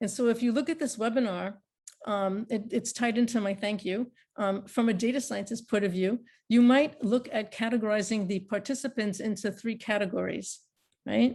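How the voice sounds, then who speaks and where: Over a quiet background, a woman talks at a moderate pace in a fairly high, somewhat breathy voice with fairly even intonation. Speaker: university professor. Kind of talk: closing remarks in a class webinar. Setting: video call webinar. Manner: halting, many fillers.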